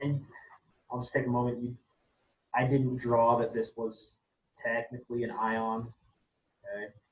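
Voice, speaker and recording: A man with a medium pitch and a somewhat breathy voice speaks at a moderate pace. His intonation is monotone and flat, broken by long, frequent pauses. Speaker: chemistry teacher. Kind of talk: lecture.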